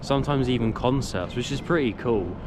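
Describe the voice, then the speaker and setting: A man speaks at a fairly quick pace and medium pitch. Audible room echo and noticeable background noise fill the recording. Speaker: travel vlogger. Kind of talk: walking travel vlog narration.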